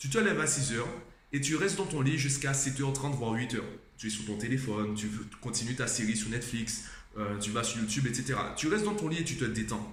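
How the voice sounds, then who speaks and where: A very fast speaker with lively intonation. Audible room echo and noticeable background noise sit behind the voice. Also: man, medium pitch for a man. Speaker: vlogger and tutor. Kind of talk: casual vlog talk. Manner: conversational, addressing viewer directly.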